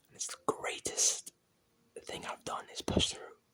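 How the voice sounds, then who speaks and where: Whispering at a moderate pace, the speaker has a relaxed tone. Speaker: ASMR creator. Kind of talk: ASMR whispered talk to camera, late-night rambling. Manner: whispered, soft-spoken, relaxed.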